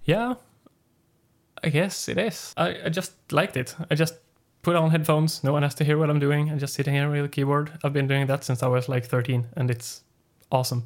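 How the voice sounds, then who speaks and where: A man talks at a fairly quick pace with a Swedish accent. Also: ordinary pitch variation. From northern Sweden. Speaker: independent musician. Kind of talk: casual chat.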